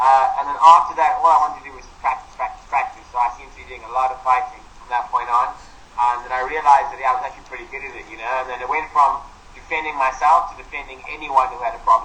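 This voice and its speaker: Amid noticeable background noise and audible room echo, a man with a fairly high pitch talks at a very fast pace, his loudness swinging widely. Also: fairly even intonation. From South Africa, Cape Town. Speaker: Muay Thai fighter. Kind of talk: casual interview. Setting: video call. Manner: rolls his R's.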